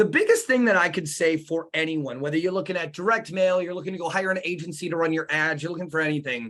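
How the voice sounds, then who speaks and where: In a bright, sharp tone, a high-pitched man races at a very fast pace with hardly any pauses and ordinary pitch variation. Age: 30s. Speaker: marketing agency owner. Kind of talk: interview. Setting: live stream.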